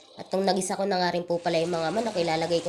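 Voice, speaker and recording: A woman rattles off words at a very fast pace in a monotone, flat intonation, with noticeable background noise behind her. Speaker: cooking vlogger. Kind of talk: cooking tutorial voiceover. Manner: polite, repetitive filler phrases.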